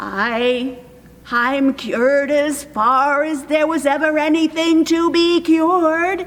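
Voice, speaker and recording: Against light background noise, a woman puts on a character voice with a high pitch and a fairly slow pace. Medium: read story. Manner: sly, chuckling.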